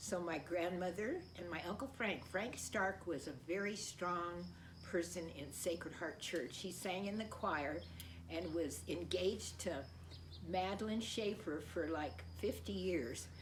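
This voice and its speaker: Over noticeable background noise and audible room echo, a woman speaks at a fairly slow pace. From US, Colorado Springs. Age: 80s+. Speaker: parishioner. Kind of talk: personal testimony. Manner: halting.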